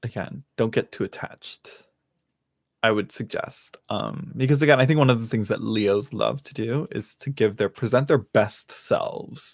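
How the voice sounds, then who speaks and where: A man with an American accent speaks at a medium pitch and a moderate pace, somewhat breathy. His loudness swings widely, and the sound is dry and close with no echo. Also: ordinary pitch variation. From California. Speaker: tarot reader, streamer. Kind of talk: live stream reading. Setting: home live stream. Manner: casual, halting with fillers.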